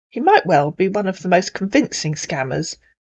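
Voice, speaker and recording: A somewhat breathy woman talks at a moderate pace. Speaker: scam baiter. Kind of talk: video introduction narration.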